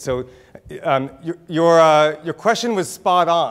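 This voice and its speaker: The background is quiet. A man is talking. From Israel, raised in Texas and California. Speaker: author and keynote speaker; keynote speaker. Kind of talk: conference keynote talk. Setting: stage with audience. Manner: humorous. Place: hall. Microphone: lapel.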